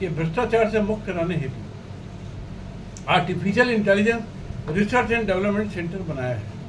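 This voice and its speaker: A man speaks with a high pitch and ordinary pitch variation. Noticeable background noise and audible room echo fill the recording. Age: 70s. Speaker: lawyer and party leader. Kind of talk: video address to the public. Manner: halting, self-correcting.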